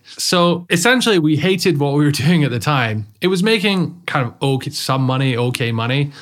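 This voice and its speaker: A man with a British accent and a fairly high pitch talks at a fairly quick pace with lively intonation and hardly any pauses. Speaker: online marketing podcast co-host. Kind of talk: casual chat. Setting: studio.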